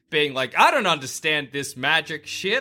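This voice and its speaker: Man's bright, sharp tone at a moderate pace, in a very clean recording with a silent background. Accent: Australian. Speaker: podcast host. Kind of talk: casual chat.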